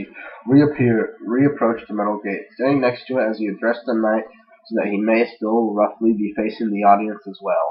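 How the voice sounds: Just a natural reading voice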